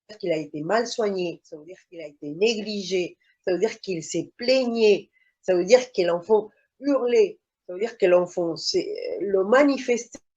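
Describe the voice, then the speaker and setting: A woman at a medium pitch with a dark, mellow tone, at a fairly slow pace. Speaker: mother testifying about child placement. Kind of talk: testimony in online interview. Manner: halting, many hesitations.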